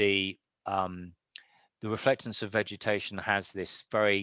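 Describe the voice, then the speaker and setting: Against a quiet background, a man with a British accent speaks at a fairly low pitch in a bright, sharp tone, the sound dry with no echo. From United Kingdom. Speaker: professor. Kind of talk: lecture Q&A. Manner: animated. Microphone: video call.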